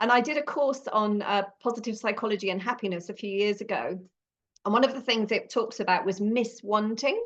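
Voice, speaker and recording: The speaker has a British accent and a fairly quick pace. The intonation stays fairly even. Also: woman, fairly high pitch for a woman. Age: 50s. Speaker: podcast host, former nurse. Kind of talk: casual interview chat.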